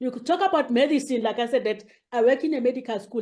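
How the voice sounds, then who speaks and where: This voice has a dark, mellow tone. It carries a South African accent. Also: woman. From South Africa, rural KwaZulu-Natal. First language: isiZulu. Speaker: academic, head of a university multilingualism unit. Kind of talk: interview. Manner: halting, many fillers.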